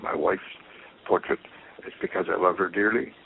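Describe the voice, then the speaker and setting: Noticeable background noise surrounds a man speaking with a Canadian accent. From Quebec, Montreal. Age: 80s+. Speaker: painter. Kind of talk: interview. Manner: halting.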